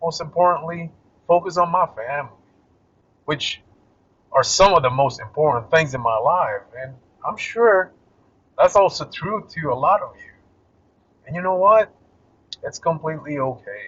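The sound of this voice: A man speaks at a moderate pace with a fairly bright tone, a slightly husky edge, fairly high pitch, lively intonation and long, frequent pauses.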